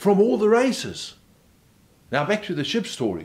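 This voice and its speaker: A man's voice shows very wide pitch swings. Vocal fry runs through his speech. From South Africa. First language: German. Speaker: motivational speaker. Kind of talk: motivational talk. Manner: conversational.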